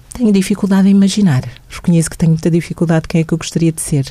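Over noticeable background noise, a woman talks very fast at a medium pitch. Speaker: social worker and mental health program adviser. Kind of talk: radio interview.

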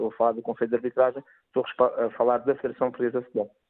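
The pitch lands at medium. It belongs to a man. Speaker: former football referee. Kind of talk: radio debate interview.

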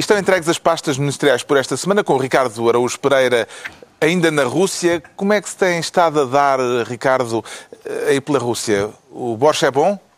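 With a normal speaking voice, a man speaks at a fairly quick pace in a fairly high pitch, his intonation lively. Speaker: political talk show host. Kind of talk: panel discussion moderation.

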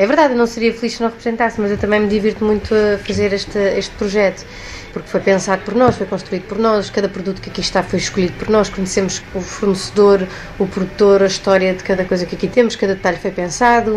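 Through noticeable background noise, a woman at a medium pitch talks at a very fast pace with fairly even intonation. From Portugal. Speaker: actress and shop owner. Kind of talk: interview.

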